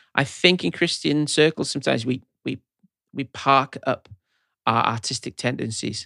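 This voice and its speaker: Pausing long and often, a man speaks at a moderate pace and medium pitch with ordinary pitch variation, his tone bright and sharp, the sound dry and close with no echo. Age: 40s. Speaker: pastor and songwriter. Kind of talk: casual chat.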